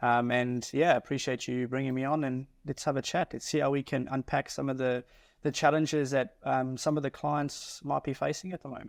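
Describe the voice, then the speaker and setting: The man's medium-pitched voice is monotone and flat, with a dry, close sound, no echo, and a very clean recording with a silent background. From South Africa. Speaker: mortgage advisor. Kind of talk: podcast interview.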